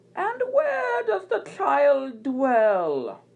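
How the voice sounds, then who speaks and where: Pitched high, a woman performs a put-on character voice. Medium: read story. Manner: questioning, controlled.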